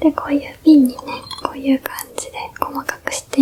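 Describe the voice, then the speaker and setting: Over noticeable background noise, a woman with a gentle tone and a high pitch talks at a moderate pace. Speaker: ASMR creator doing a big-sister role-play. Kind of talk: ASMR role-play, skincare routine explained to a younger sibling. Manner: gentle, soft whispery, friendly.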